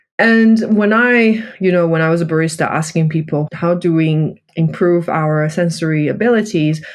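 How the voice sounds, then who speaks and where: A woman with a non-native accent talks at a fairly low pitch, with ordinary pitch variation. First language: not English. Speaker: coffee buyer and cup tasting champion. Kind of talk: interview.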